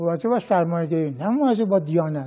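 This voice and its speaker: Very fast speech from a man with a dark, mellow tone, very wide pitch swings, and a quiet background. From Iran, Tehran. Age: 80s+. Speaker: sociologist and former political activist; interview guest. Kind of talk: interview. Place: studio. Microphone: lapel.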